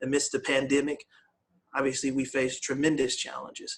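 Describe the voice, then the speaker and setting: Here a man with an American accent speaks at a fairly quick pace. His fairly high pitch stays monotone, with flat intonation. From US West Coast, Oakland, California. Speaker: police chief. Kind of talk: town hall panel remarks. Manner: halting, many fillers.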